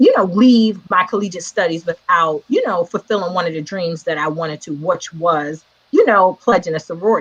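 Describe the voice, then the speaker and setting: With an American accent, a woman talks at a fairly quick pace with hardly any pauses, using a normal speaking voice, fairly low pitch and ordinary pitch variation. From New York City (Queens). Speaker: educator and entrepreneur. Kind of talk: casual interview.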